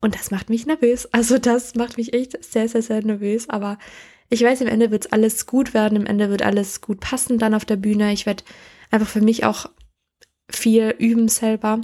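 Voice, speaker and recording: This woman's voice sits fairly high, with a dark, mellow tone. It is somewhat breathy and her intonation stays monotone and flat. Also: moderate pace. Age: 20s. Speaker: podcast host. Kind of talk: casual monologue. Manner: halting.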